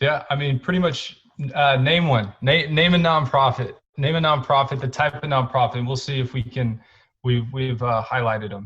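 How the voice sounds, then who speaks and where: Here a man talks with an American accent. His pace is moderate and his pitch variation ordinary. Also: medium pitch for a man. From Texas, Houston. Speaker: nonprofit co-founder. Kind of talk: interview. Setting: podcast. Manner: halting, many fillers.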